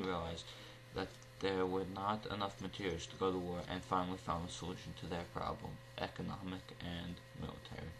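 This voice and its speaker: Pitched very deep and low, a man talks at a fairly quick pace over noticeable background noise. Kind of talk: newsreel-style history narration.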